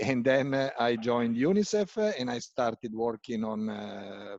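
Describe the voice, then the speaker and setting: Speaking in an Italian accent, a man at a medium pitch talks at a fairly slow pace with ordinary pitch variation, the sound dry and close with no echo. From Italy. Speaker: UN agency country representative, medical doctor. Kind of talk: talk in a panel discussion. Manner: hesitant, many fillers.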